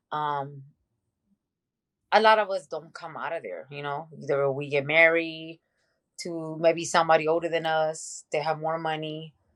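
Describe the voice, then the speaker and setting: A woman with a Mexican accent, very deep and low in pitch, monotone and flat, with big swings in loudness, a moderate pace, long, frequent pauses, and a quiet background. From Mexico, Tijuana; moved to Venice, California in eighth grade. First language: Spanish. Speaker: podcast guest, mother. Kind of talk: casual interview, personal life story. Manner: casual, many fillers.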